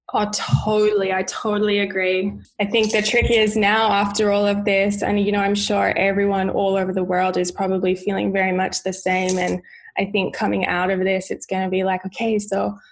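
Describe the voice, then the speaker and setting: Speaking at a moderate pace, a woman with a medium pitch talks in an Australian accent. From Australia, Sydney. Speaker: wellness guest. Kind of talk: casual interview.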